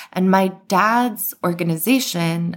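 Speaking with an American accent, this woman shows ordinary pitch variation. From Iran and United States. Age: 40s. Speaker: author and journalist. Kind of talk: interview.

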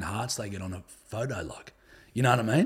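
A man speaks with an Australian accent at a medium pitch. His voice is somewhat breathy, with ordinary pitch variation. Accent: Australian, fairly broad. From northern New South Wales, Australia. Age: 30s. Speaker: podcaster and comedian. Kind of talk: casual chat, podcast interview. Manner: swears a lot, relaxed.

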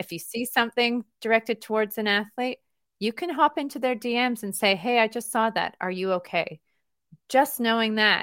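A woman with a fairly high pitch and a bright, sharp tone speaks at a moderate pace, with ordinary pitch variation. The recording is very clean with a silent background, dry and close with no echo. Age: 40s. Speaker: tech company co-founder. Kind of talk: interview.

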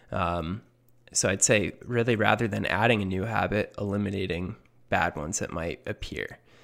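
The recording is very clean, with a silent background. A man with a fairly low pitch speaks in a plain, everyday voice at a moderate pace with fairly even intonation. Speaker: podcast co-host. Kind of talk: casual banter podcast chat.

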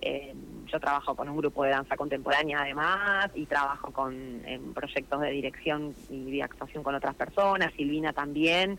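Speaking at a moderate pace, a woman has a very deep, low pitch with fairly even intonation. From Argentina, Neuquén province. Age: 40s. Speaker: theatre actress. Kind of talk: radio interview.

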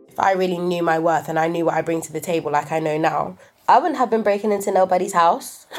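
Over noticeable background noise, a woman in a London accent talks at a very fast pace, with fairly low pitch and ordinary pitch variation. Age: 20s. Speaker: young storyteller. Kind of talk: personal storytelling.

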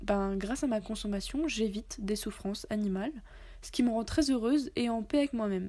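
A woman speaks with ordinary pitch variation. Her tone is dark and mellow. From France. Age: 20s. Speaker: podcaster. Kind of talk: personal testimony monologue. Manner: casual with frequent hesitations.

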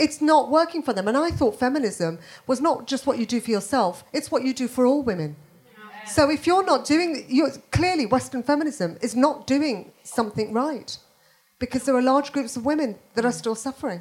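A woman with a Birmingham accent, high-pitched and lively in intonation, at a moderate pace. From Birmingham, England. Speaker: comedian. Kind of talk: panel discussion before live audience. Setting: stage with audience.

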